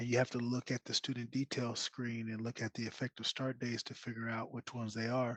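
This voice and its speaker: Soft-spoken, a man rushes at a very fast pace in a monotone, flat delivery with hardly any pauses. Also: medium pitch for a man. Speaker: data support specialist on Q&A panel. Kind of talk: live Q&A webinar. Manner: quiet.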